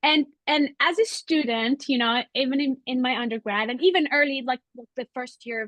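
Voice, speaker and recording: A woman with a non-native accent, high-pitched and bright, sharp in tone, ordinary pitch variation, in a dry, close sound with no echo. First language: not English. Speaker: webinar host, art historian. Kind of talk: Q&A moderation. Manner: halting.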